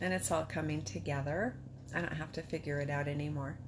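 A woman speaks with a very deep, low pitch and vocal fry, her intonation fairly even. Noticeable background noise sits behind her. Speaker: patient sharing illness journey. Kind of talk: personal testimony. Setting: self-recorded video. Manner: casual, candid. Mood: reflective, emotional, hopeful. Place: home room. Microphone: phone near.

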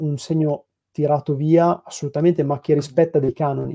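A man's fairly high, monotone, flat voice at a moderate pace against a quiet background. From Piacenza, northern Italy; northern Italy. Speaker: graphic designer at a comics publisher. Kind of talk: casual interview. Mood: calm, thoughtful. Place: home room. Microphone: video call.

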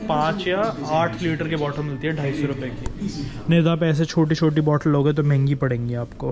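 Clear background noise runs through the clip. A man speaks at a fairly high pitch. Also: fairly even intonation, moderate pace.

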